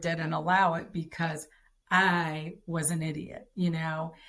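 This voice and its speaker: The speaker is a woman. She talks very slowly, her intonation fairly even. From Detroit, US Midwest. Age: 60s. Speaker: podcast guest, wife of a former pro football player. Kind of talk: interview, personal testimony.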